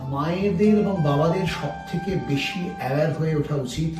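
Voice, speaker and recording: Music plays in the background. A man with a fairly high pitch talks with ordinary pitch variation. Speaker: doctor. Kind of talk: documentary-style narration.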